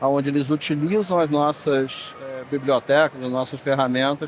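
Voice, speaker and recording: A man speaks with a Rio de Janeiro accent. His voice is fairly high in pitch. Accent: Rio de Janeiro (carioca). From Rio de Janeiro, Brazil. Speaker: tech industry manager. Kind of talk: panel discussion.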